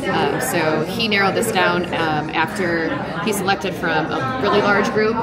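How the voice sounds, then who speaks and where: A woman at a moderate pace with ordinary pitch variation, music in the background. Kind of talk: tasting explanation to guests. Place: bar. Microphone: camera far.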